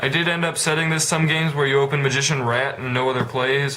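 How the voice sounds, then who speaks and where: Over noticeable background noise and audible room echo, a man with a fairly high pitch speaks with fairly even intonation. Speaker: card game vlogger. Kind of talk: deck profile vlog. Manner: halting, many filler words; casual.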